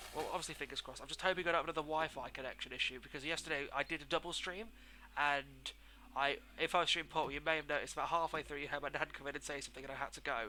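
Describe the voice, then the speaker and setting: A man speaks very fast in a British accent, his pitch fairly high and his intonation fairly even. His tone is bright and sharp. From England. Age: 20s. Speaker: game streamer. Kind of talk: live gameplay commentary. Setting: live stream at home. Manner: casual, chatty.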